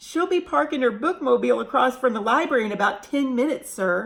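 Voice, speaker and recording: Putting on a squeaky character voice, a woman speaks at a high pitch with lively intonation. Her pace is very fast. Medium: read story. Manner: nervous, stammering.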